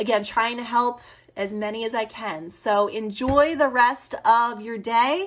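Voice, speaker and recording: In a plain, everyday voice with an American accent and ordinary pitch variation, the speaker comes through a very clean recording with a silent background. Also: woman. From US Northeast. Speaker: teacher turned education consultant. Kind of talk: live stream talk to teachers.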